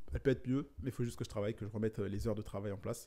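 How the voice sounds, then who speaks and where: This man's voice has a dark, mellow tone, a medium pitch and ordinary pitch variation. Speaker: entrepreneur and content creator. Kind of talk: vlog monologue. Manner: fast.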